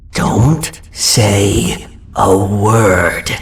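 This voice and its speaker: A low-pitched, cartoonish character voice. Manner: nervous, apologetic.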